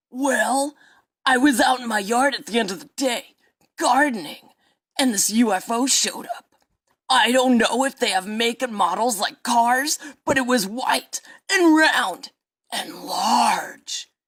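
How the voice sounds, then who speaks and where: A put-on character voice at a fairly high pitch, fairly slow in pace, with long, frequent pauses. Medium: audio drama. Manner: rambling, earnest, aggrieved.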